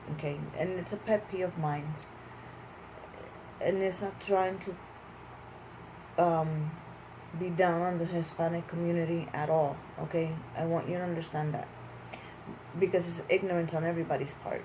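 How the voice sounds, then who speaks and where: A woman's fairly low voice in monotone, flat intonation, at a moderate pace with long, frequent pauses and audible room echo. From Puerto Rico. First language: Spanish. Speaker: vlogger. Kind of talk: casual vlog monologue.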